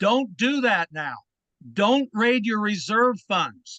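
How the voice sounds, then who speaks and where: A man projects a raised voice at high pitch with a bright, sharp tone. He speaks at a fairly slow pace in a dry, close sound with no echo. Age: 70s. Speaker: public commenter, former state legislator, landlord. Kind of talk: public comment at a board meeting. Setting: public board meeting.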